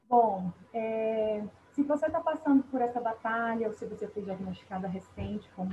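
Somewhat breathy and fairly high, the woman's voice shows ordinary pitch variation. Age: 30s. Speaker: cancer patient, professional. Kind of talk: testimony interview. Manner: halting.

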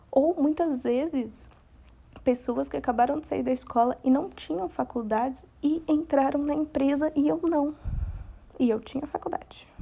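A woman with a high pitch and a dark, mellow tone speaks at a fairly slow pace with ordinary pitch variation. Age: 20s. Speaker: podcast host. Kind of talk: casual monologue.

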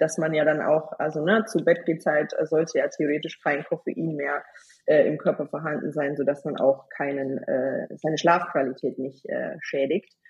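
Speech unfolds fairly slowly. A somewhat breathy quality runs through it. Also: woman. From Bavaria, Germany. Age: 20s. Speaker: hormone and nutrition expert. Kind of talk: podcast interview.

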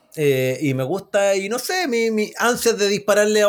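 Speaking in a Chilean accent, a man talks at a moderate pace in a high pitch. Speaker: podcast host. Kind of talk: casual chat. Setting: remote recording from separate cities.

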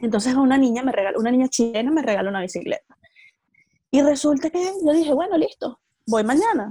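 Very fast speech from a woman, high-pitched with very wide pitch swings, in a dry, close sound with no echo. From Venezuela. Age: 20s. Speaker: entrepreneur and emigrant. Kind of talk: interview. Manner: articulate, engaging speaker.

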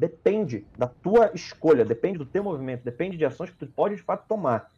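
A man speaks with very wide pitch swings. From Brazil, Belém do Pará. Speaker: psychologist. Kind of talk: casual interview on livestream.

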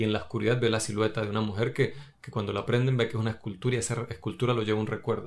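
A man talks at a very fast pace in a medium pitch with fairly even intonation. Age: 30s. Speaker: film podcast co-host. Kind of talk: casual chat.

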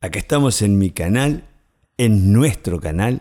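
The recording is very clean, with a silent background. A man speaks very slowly in a dark, mellow tone. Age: 60s. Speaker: life coach podcaster. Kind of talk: motivational monologue. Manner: animated.

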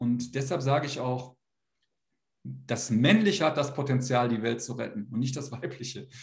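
A man speaks at a medium pitch with vocal fry and ordinary pitch variation. His pace is moderate, and audible room echo is present. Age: 40s. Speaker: men's coach. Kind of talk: interview. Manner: halting.

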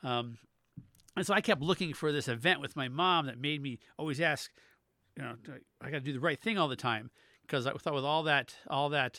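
In a very clean recording with a silent background, a bright, sharp voice with ordinary pitch variation moves at a fairly quick pace between long, frequent pauses. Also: man. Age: 50s. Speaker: podcast co-host. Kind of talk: casual chat.

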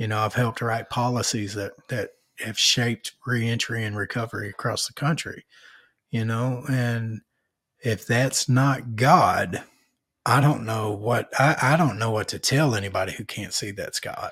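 A man with an Arkansas accent, medium pitch, fairly even intonation, and a fairly slow pace, recorded very cleanly against a silent background. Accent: Southern US (Arkansas). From Arkansas, North Little Rock. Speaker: podcast host, author and public speaker. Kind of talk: casual interview.

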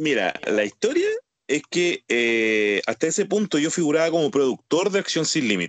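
In a Chilean accent, a man with a fairly high pitch talks at a moderate pace with very wide pitch swings and very even loudness, the sound dry and close with no echo. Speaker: podcast co-host, former wrestler. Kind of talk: casual chat.

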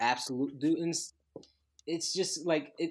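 Here a man speaks with lively intonation. The recording is very clean, the background silent. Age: 20s. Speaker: Olympic triple jumper and entrepreneur. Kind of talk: casual chat. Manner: animated.

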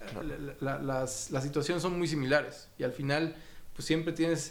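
Audible room echo surrounds a man speaking at a moderate pace with monotone, flat intonation. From Mexico City. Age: 40s. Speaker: finance executive. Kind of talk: interview. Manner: halting, repeats words.

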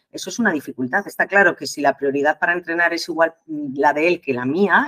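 A woman speaks at a fairly quick pace in a very deep, low pitch. The sound is dry and close, with no echo. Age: 50s. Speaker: nurse and marathon runner. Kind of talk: interview. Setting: remote call.

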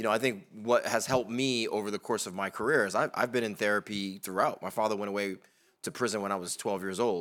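On a very clean recording with a silent background, a man with a fairly low pitch talks at a fairly quick pace in an ordinary speaking voice. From Bridgeport, Connecticut. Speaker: venture investor, panelist. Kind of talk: panel discussion.

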